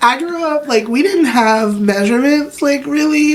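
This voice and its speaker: Over noticeable background noise, a woman with an American accent speaks at a moderate pace and a high pitch with ordinary pitch variation. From US South, Wilmington, North Carolina. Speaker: chef and food business owner. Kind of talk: interview conversation. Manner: animated.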